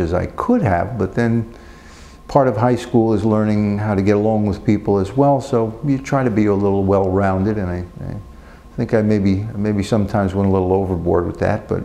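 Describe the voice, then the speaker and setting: With a New Jersey accent, a man speaks at a moderate pace in a fairly low pitch with fairly even intonation. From New Jersey, Passaic. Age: 60s. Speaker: prisoner. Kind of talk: interview. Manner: halting.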